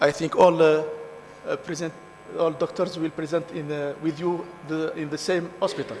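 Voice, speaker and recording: Speaking at a moderate pace with long, frequent pauses, a man with a high voice keeps a monotone, flat intonation over noticeable background noise. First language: French or Arabic. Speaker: conference session chair. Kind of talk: session chairing. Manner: halting.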